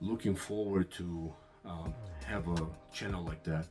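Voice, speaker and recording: Music plays in the background. A man speaks with a non-native accent. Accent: noticeable foreign. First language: Russian. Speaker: Bible video channel host. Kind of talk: casual channel introduction. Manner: halting, many fillers.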